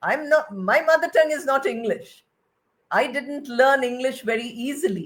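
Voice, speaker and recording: This woman speaks with a Bengali accent at a moderate pace. Her voice is high-pitched, with lively intonation. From India (Bengali). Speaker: retired English professor. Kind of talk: lecture.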